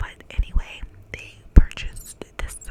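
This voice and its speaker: Someone whispers at a very slow pace with an American accent. Noticeable background noise runs underneath. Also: woman. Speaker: ASMR creator. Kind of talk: whispered true crime narration. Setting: studio microphone. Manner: whispered, soft-spoken.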